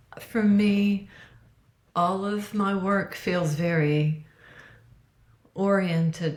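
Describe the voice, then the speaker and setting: Somewhat breathy, a woman speaks at a very slow pace. Her intonation stays fairly even. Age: 60s. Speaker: registered dietitian, author. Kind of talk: interview.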